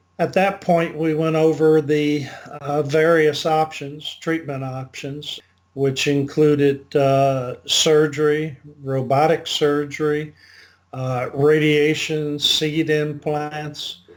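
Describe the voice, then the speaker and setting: A man's fairly high voice, very slow in pace, with monotone, flat intonation. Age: 70s. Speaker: patient. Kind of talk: testimony. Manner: hesitant, many fillers.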